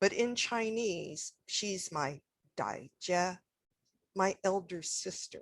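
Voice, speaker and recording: A woman speaks at a medium pitch with a Canadian accent. The recording is very clean, with a silent background. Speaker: historian, academic speaker. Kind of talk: presentation.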